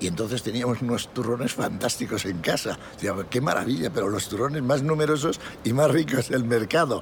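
This man talks at a moderate pace with a medium pitch and lively intonation. Noticeable background noise can be heard. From Spain, Astorga (León). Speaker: retired airline pilot. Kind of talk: interview, personal memories.

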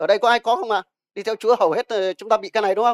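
A man talks at a very fast pace in a high pitch. The sound is dry and close with no echo. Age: old. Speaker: pastor. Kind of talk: sermon.

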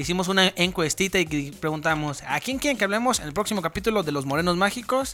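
At a very fast pace with hardly any pauses, a man talks at a high pitch. His tone is bright and sharp, and his intonation is lively. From San Luis Potosí, Mexico. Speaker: podcast co-host. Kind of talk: casual chat.

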